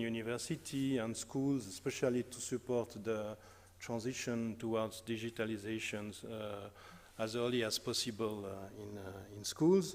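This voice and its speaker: A man speaks in a strong French accent with ordinary pitch variation at a moderate pace. The recording is very clean, with a silent background. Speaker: academic researcher. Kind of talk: conference talk. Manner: hesitant, many fillers.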